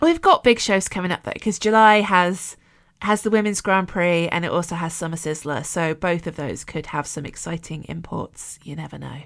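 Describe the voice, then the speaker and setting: On a very clean recording with a silent background, a woman with a British accent speaks at a moderate pace and fairly low pitch. Her pitch variation is ordinary, but her loudness swings widely. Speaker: wrestling podcast co-host. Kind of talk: casual chat. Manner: animated.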